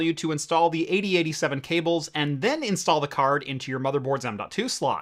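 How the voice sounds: A man at a fast pace, fairly high in pitch, with a bright, sharp tone, lively intonation and a very clean recording with a silent background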